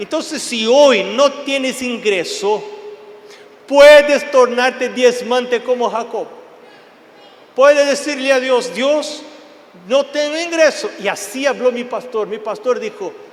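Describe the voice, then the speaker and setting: Amid noticeable background noise, a man with an extremely high pitch talks at a fairly slow pace in an animated tone, leaving long, frequent pauses. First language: Portuguese (speaking Spanish). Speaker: preacher. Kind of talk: sermon.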